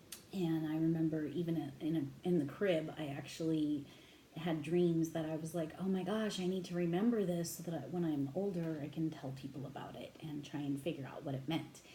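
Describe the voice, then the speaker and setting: Quiet and very deep in pitch, a woman speaks at a fairly quick pace with fairly even intonation amid audible room echo. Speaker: tarot reader. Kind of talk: tarot reading monologue. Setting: home at midnight, headset. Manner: naturally loud voice; trying to talk quietly.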